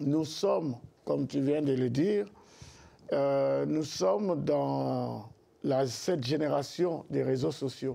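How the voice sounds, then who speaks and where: A man at a very slow pace. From Congo. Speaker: pastor. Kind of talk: interview. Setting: TV studio set. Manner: hesitant, many fillers.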